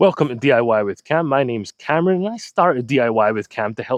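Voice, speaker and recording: A man talks at a very fast pace with a Scottish accent. His medium-pitched voice has lively intonation. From Scotland. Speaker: DIY YouTuber. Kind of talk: channel trailer to camera.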